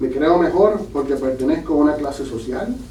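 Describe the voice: Dark, mellow tone at a moderate pace, with audible room echo. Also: man.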